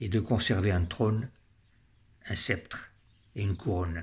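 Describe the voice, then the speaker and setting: In a solemn tone, a man talks at a moderate pace, his fairly low voice somewhat breathy, with fairly even intonation. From French Algeria. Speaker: political commentator. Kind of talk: personal monologue. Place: home room. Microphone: phone near.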